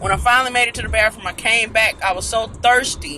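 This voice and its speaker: Talking at a fairly quick pace in a raised, projected voice, a man comes through over light background noise. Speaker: vlogger in passenger seat. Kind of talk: casual vlog chat. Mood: amused, storytelling with laughs. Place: car. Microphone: phone near.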